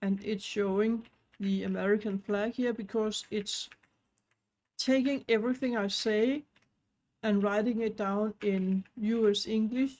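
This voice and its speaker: A speaker with a non-native accent talks at a fairly slow pace, leaving long, frequent pauses. The intonation stays monotone and flat. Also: woman, fairly high pitch for a woman. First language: not English; knows Danish and French. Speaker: online business tutorial creator. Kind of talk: tutorial.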